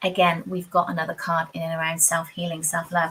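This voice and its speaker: A woman with a fairly low pitch talks at a fairly quick pace in monotone, flat intonation, with noticeable background noise. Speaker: tarot reader. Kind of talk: live tarot reading. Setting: livestream. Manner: fast.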